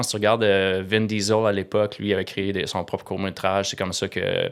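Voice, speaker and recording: Speaking with a Quebec accent, a man uses fairly low pitch. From Quebec, Eastern Townships (Bromont area). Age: 50s. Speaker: entrepreneur, startup founder. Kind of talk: interview conversation. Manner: halting, many fillers and repetitions.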